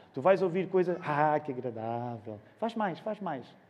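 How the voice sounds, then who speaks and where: Dark and mellow, a man's voice moves at a moderate speed. Very wide pitch swings run through it. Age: 40s. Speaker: pastor. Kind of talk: sermon.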